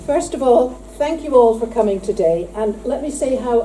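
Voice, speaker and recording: Over noticeable background noise and audible room echo, a woman speaks at a moderate pace with lively intonation and a fairly high pitch. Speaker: prison inspector. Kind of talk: conference speech. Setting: conference hall with audience.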